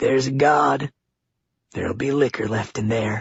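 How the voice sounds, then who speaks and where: A man puts on a raspy character voice at a medium pitch, soft-spoken throughout. His intonation stays fairly even and his pace is moderate. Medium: read story. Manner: calm, soft, resigned.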